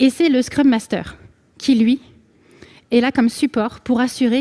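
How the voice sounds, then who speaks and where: A woman's dark, mellow tone comes through in a dry, close sound with no echo. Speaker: conference speaker. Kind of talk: conference talk. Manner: fast.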